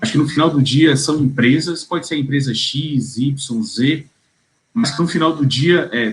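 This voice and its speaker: A man talks in a somewhat breathy voice. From Bahia, Brazil. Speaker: tax lawyer. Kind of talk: interview answer. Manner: cheerful, laughs easily.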